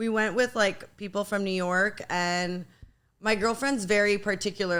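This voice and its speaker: At a medium pitch, a woman with a Montreal accent speaks in a bright, sharp tone with fairly even intonation. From Montreal, Quebec. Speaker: podcast host. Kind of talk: casual chat.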